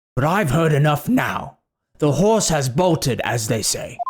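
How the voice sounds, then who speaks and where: This put-on character voice is raspy, sitting at a middle pitch and moving at a moderate pace. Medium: game stream. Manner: pompous, hearty.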